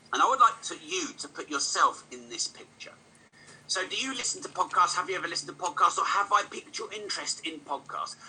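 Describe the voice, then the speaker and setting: Over noticeable background noise, the speaker talks at a very fast pace with an animated tone. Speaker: podcast host and business speaker. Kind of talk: motivational talk.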